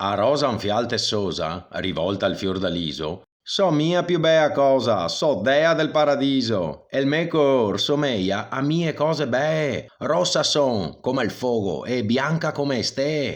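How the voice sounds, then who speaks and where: This man talks at a very slow pace with hardly any pauses, at a medium pitch and with a Venetian accent. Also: lively intonation. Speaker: voice actor. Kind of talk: poetry reading.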